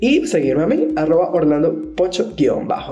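With a Venezuelan accent and an animated tone, a man speaks at a high pitch and moderate pace, his intonation lively, amid noticeable background noise and audible room echo. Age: 20s. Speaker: podcast host. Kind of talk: casual chat.

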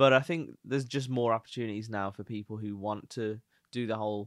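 In a Birmingham accent, a man talks fairly quickly at a fairly low pitch with fairly even intonation. The sound is dry and close, with no echo. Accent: Birmingham (Brummie). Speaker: podcast co-host, freelancer. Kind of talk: casual banter chat, comedic.

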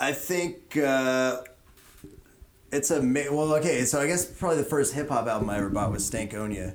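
Here a man keeps a moderate pace with ordinary pitch variation. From Houston, Texas. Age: 30s. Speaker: craft beer expert. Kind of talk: casual chat.

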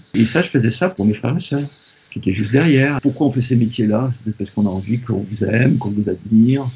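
Over noticeable background noise, a man talks very fast in a medium pitch with ordinary pitch variation. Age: 70s. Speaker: children's author-illustrator. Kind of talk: interview. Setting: remote interview.

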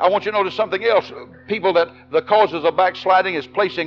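A man with a Tennessee accent and a high pitch, with music in the background. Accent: Southern US (Tennessee). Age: 60s. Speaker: Baptist pastor. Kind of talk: fiery revival-style Baptist sermon to an evening congregation. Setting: church service with congregation. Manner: impassioned, rhythmic preaching punctuated with Amen and repeated words; emphatic and animated, with stammered restarts and laughs.

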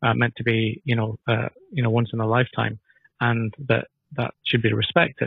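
Here a man speaks with a Scottish accent at a medium pitch. His intonation is monotone and flat. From northern Scotland (Elgin), family from Dundee. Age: 50s. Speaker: political party candidate. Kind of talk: interview.

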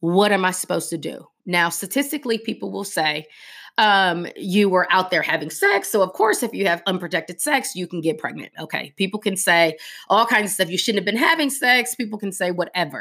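At a fairly quick pace, a woman with an American accent speaks in a medium pitch with lively intonation and a bright, sharp tone, over a silent background in a very clean recording. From US West Coast, South Central Los Angeles. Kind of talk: personal testimony. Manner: halting, many fillers.

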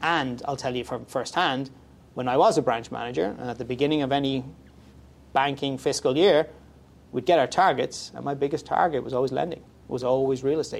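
He speaks with an Irish accent at a fairly quick pace. His voice is medium in pitch. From Ireland. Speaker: mortgage broker. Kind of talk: casual interview.

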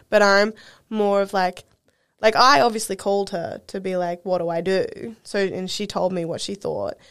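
In an Australian accent, a woman speaks at a moderate pace with fairly even intonation. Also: medium pitch for a woman. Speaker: podcast co-host. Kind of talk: casual chat.

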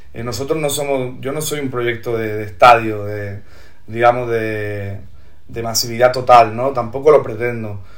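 Against noticeable background noise and audible room echo, a man talks fairly slowly at a medium pitch, his intonation fairly even but his loudness swinging widely. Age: 30s. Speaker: singer-songwriter and poet. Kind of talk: casual interview.

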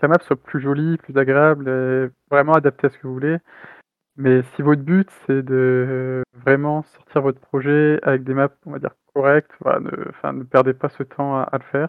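Speaking fairly slowly in a flat monotone, a man with a fairly high pitch makes big swings in loudness. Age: 30s. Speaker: indie game developer. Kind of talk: interview. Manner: halting.

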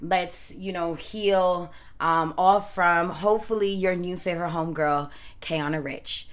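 A woman's fairly low voice at a fairly slow pace, with ordinary pitch variation and audible room echo. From Canada, of Jamaican parents. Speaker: podcast host, tarot reader. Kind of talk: casual solo podcast monologue.

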